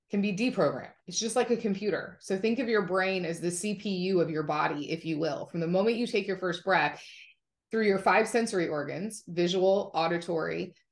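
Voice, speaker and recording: A woman talks at a fairly quick pace. Her pitch variation is ordinary. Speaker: podcast guest. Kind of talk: interview answer. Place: home room. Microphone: video call.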